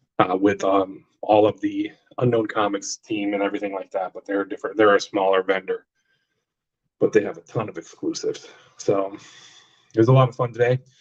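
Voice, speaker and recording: Speaking at a fairly quick pace with long, frequent pauses, a man is heard in a dry, close sound with no echo. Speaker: comic book collector vlogger. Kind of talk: casual live stream chat. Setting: bathroom. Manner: loud.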